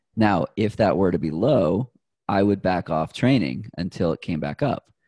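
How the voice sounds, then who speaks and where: In an American accent, a man with a very deep, low pitch and a dark, mellow tone speaks at a moderate pace with lively intonation and vocal fry, the sound dry and close with no echo against a quiet background. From Boston, Massachusetts. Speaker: runner and health tech sales manager. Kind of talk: casual interview.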